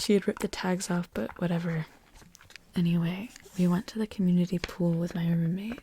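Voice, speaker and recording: The voice is soft-spoken. It stays at a whisper. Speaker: ASMR creator. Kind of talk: ASMR reading and reacting to online stories. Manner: soft-spoken, whispery.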